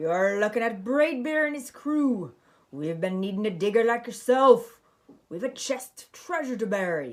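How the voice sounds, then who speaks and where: A put-on character voice bellows loudly at a fairly high pitch. The pace is moderate. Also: female-sounding voice. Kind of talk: children's picture book read-aloud. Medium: read story. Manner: loud, bellowing.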